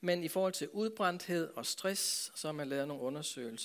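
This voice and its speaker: Here a man with a plain, everyday voice, fairly high in pitch with ordinary pitch variation, speaks at a fairly slow pace in a very clean recording with a silent background. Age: 60s. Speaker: pastor. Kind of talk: talk to a church audience.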